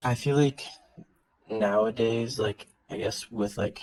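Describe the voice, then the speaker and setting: With a Californian accent, a man talks at a fairly slow pace. His medium pitch shows ordinary variation. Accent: Californian, easy to understand. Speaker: worker with kids. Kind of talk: casual chat. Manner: eloquent.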